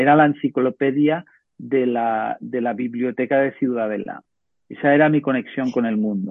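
A man uses an ordinary speaking voice, pitched in the middle range and varying in pitch in a normal way. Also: moderate pace. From Menorca, Spain. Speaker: tech entrepreneur. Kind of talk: course talk.

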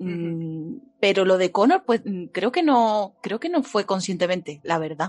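With an Andalusian accent, a woman speaks at a medium pitch with lively intonation. The sound is dry and close, with no echo. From Andalusia, Seville. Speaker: fiction writer. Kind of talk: casual interview. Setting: livestream.

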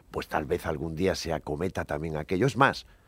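On a very clean recording with a silent background, a man talks at a moderate pace. His intonation is lively, and vocal fry runs through his voice. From Cantabria, Spain (Buelna). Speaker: former business executive. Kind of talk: radio panel debate.

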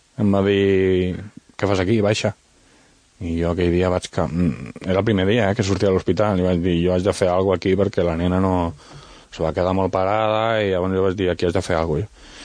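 A man speaks in a very deep, low pitch. His pace is fairly quick and his intonation fairly even. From Valencian Community (Vinaròs), raised in Catalonia. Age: 30s. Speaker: author and wheelchair user. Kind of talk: radio interview.

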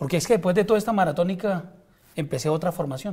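A man talks at a very fast pace in a dark, mellow tone. His pitch moves in an ordinary way. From Colombia, Ocaña, Norte de Santander. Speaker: head nurse and pro-life activist. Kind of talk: interview. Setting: barbershop. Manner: formal.

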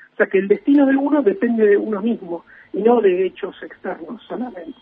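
Ordinary pitch variation at a fairly quick pace, with noticeable background noise. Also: man. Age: 30s. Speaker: film enthusiast. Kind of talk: radio interview. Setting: remote call from home.

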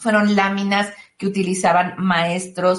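In a Mexican accent, the voice comes out somewhat breathy at a fairly slow pace. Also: woman. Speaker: tarot reader and self-help author. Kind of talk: interview.

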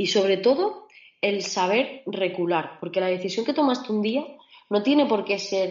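A woman speaks at medium pitch and a moderate pace, with lively intonation. It is an ordinary speaking voice. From Extremadura, Spain (Mérida). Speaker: mechanical engineer and entrepreneur. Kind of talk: interview.

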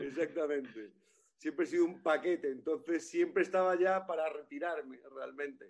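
Using an unremarkable speaking voice, a man with a fairly high pitch talks at a moderate pace with ordinary pitch variation. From Galicia. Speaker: comedian. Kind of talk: casual chat.

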